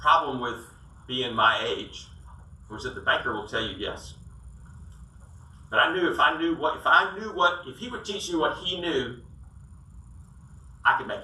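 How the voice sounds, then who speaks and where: At a moderate pace, a man with a high voice speaks with big swings in loudness and long, frequent pauses, with audible room echo and noticeable background noise. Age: 60s. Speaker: sales coach and business owner. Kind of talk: business talk to audience.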